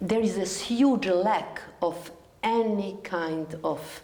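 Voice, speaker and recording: A woman speaks with ordinary pitch variation, accompanied by noticeable background noise and audible room echo. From Serbia, Belgrade. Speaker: TV interviewer. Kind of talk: interview.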